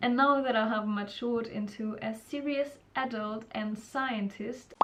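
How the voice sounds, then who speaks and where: A woman with an Austrian accent speaks at a fairly slow pace in a fairly high pitch, her intonation fairly even, with noticeable background noise. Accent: German-speaking (Austrian) accent in English. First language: German. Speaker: student vlogger. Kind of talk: casual vlog advice.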